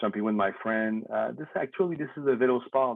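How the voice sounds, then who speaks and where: A man speaks with a Quebec accent. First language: French. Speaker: BMX industry figure, former racer. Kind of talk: casual chat. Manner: halting.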